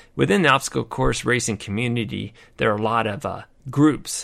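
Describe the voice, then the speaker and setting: Recorded very cleanly against a silent background, a man with a medium pitch speaks at a fairly quick pace in a bright, sharp tone with vocal fry. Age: 50s. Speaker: podcast host and retired army veteran. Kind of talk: casual monologue. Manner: halting, with fillers.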